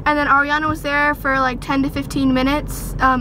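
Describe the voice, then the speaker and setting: A woman's raised, projected voice, high-pitched and monotone, at a fairly quick pace amid audible room echo and noticeable background noise. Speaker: vlogger. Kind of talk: casual vlog. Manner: fast.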